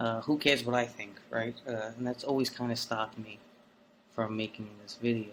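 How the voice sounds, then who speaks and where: Delivered in a New York accent, the speech moves at a moderate pace with monotone, flat intonation. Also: man, medium pitch for a man. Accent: New York City. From South Brooklyn, New York City. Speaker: vlogger. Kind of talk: unscripted monologue. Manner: hesitant, many fillers.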